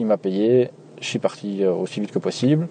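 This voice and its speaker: In a Belgian accent, a man speaks with a fairly low pitch. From Belgium, Nivelles (Walloon Brabant). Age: 20s. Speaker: taxi driver. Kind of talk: storytelling interview.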